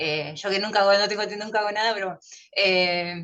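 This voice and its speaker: This woman speaks at a moderate pace in a medium pitch. Her tone is bright and sharp, with ordinary pitch variation. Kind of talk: casual chat.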